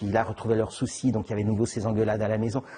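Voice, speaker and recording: Somewhat breathy, a man speaks at medium pitch with a dark, mellow tone. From Geneva area, Switzerland. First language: Italian (speaking French). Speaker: novelist. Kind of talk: interview. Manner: halting, many repetitions and fillers.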